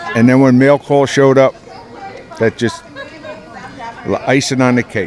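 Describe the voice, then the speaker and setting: Crowd noise sits behind a man talking at a moderate pace. His pitch is medium and his intonation fairly even. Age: 70s. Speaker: war veteran. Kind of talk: testimony.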